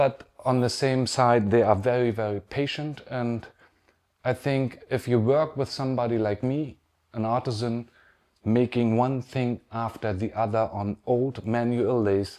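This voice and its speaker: A man with a German accent speaks at a fairly slow pace, his tone dark and mellow and his intonation fairly even. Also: medium pitch for a man. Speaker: pen artisan. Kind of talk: pre-recorded video message. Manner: halting.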